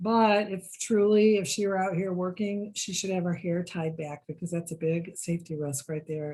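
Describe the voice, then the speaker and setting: A woman with an American accent speaks at a fairly low pitch in a somewhat breathy, dark, mellow tone with fairly even intonation. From Michigan. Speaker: engineer. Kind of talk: presentation.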